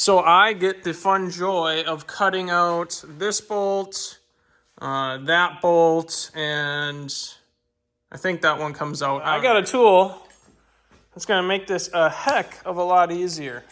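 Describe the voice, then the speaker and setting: In a Minnesotan accent, a man with a high pitch, ordinary pitch variation and a bright, sharp tone talks at a very slow pace on a very clean recording with a silent background. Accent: Minnesota. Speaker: car enthusiast YouTuber. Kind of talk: DIY tutorial. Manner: animated.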